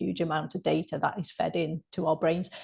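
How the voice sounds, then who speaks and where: A woman with a dark, mellow tone and vocal fry speaks at a moderate pace. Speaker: health coach and counsellor. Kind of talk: interview.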